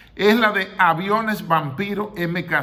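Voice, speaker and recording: There is audible room echo as a man speaks at a very slow pace in a bright, sharp tone. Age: 60s. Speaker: retired general, history commentator. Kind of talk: history commentary monologue.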